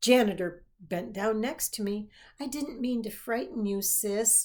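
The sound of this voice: With fairly even intonation, the passage is read in an unforced voice.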